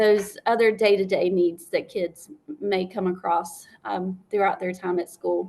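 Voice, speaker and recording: A woman speaks fairly slowly with a South Carolina accent. Her pitch is medium, with ordinary variation. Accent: Southern US, South Carolina. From upstate South Carolina. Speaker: school librarian. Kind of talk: interview.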